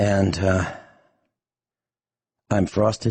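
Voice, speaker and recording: A man speaks at a very slow pace in a serious tone. His voice is somewhat breathy. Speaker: radio talk show host. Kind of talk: talk radio monologue.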